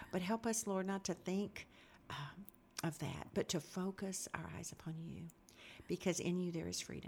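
Speaking at a moderate pace, a woman with a fairly low voice and vocal fry keeps her intonation fairly even. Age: 60s. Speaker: interviewer and Sunday class teacher. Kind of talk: casual interview. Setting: studio.

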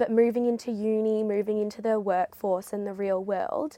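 Speaking with an Australian accent, a woman keeps a medium pitch. Her intonation stays fairly even. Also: dry, close sound with no echo. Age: 20s. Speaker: former school captain, university student. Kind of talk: interview.

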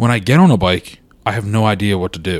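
This man has a plain, everyday voice. His fairly low pitch moves with ordinary pitch variation. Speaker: podcast host. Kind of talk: casual chat. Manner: joking, laughs often.

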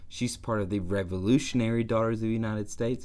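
A man speaks with a Southern US accent. His pitch is fairly low. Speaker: podcast co-host. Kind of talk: casual chat.

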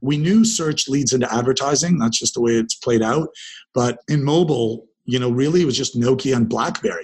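A man with a Canadian accent talks at a fairly quick pace and medium pitch, somewhat breathy, with ordinary pitch variation and very even loudness. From Canada, Ontario (Dundas near Hamilton). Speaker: entrepreneur and investor. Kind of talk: interview conversation. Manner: conversational with frequent repetitions.

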